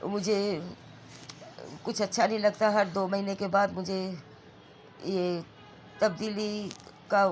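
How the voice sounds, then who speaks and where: A woman is talking. Her pitch is medium. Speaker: vlogger. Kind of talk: casual vlog narration. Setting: at home.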